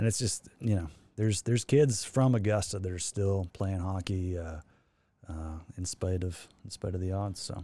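Speaking in a Canadian prairie accent, a man with a very deep, low pitch and a dark, mellow tone moves at a moderate pace with ordinary pitch variation, in a very clean recording with a silent background. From Saskatchewan, Canada. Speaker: former pro hockey player. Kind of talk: casual chat.

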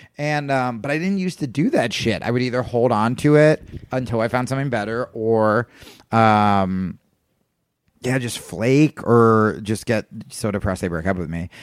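At a moderate pace, a man speaks in a plain, everyday voice, medium in pitch with lively intonation. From US Northeast, Brooklyn. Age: 30s. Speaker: comedian. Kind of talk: casual chat.

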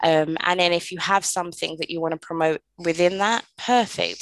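With fairly even intonation, a woman talks at a fairly low pitch and a moderate pace. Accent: British. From London, England. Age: 30s. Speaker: podcast host. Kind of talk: solo podcast monologue.

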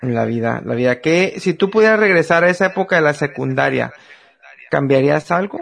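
Lively intonation and a moderate pace in a man's plain, everyday voice. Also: fairly high pitch for a man. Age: 30s. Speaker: podcast host. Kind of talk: casual chat.

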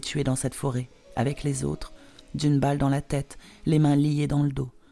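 A woman's very deep, low-pitched voice at a moderate pace, with music in the background. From Poland. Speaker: memoir author. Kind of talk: memoir narration.

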